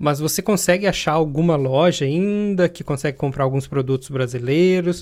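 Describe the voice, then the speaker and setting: At a moderate pace, a man uses a plain, everyday voice with ordinary pitch variation. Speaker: podcast host, software developer. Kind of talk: casual interview.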